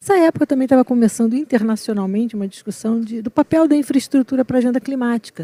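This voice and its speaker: A woman's high-pitched voice in a Rio de Janeiro accent, dark and mellow in tone, very fast with hardly any pauses, ordinary pitch variation, dry and close with no echo. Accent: carioca (Rio de Janeiro). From Rio de Janeiro, Brazil. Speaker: environmental consultant, panelist. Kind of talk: panel discussion.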